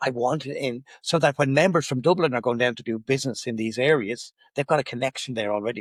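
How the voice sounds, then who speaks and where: With an Irish accent, a man talks at a fairly quick pace and medium pitch, with ordinary pitch variation and a dry, close sound with no echo. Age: 60s. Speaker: business networking director. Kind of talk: podcast interview. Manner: animated.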